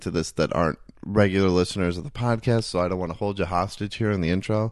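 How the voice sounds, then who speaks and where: A man with an ordinary speaking voice talks at a fairly quick pace and fairly low pitch, with ordinary pitch variation, against a quiet background. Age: 30s. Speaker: podcast host. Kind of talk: casual interview chat. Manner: rambling, filler-heavy.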